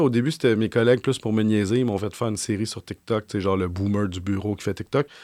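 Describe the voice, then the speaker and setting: A man with a Quebec accent at a very fast pace, in a very clean recording with a silent background and a dry, close sound with no echo. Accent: Québécois French. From Quebec (Saint-Eustache area). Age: 40s. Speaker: journalist. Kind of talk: interview.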